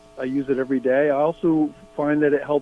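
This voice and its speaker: Amid noticeable background noise, a man with a fairly high pitch talks at a moderate pace with fairly even intonation. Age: 60s. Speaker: caller. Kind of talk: casual chat. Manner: halting.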